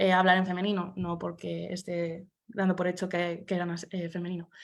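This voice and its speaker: A woman's fairly low voice in a flat monotone, on a very clean recording with a silent background. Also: moderate pace. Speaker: academic researcher. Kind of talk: conference presentation. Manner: hesitant, many fillers.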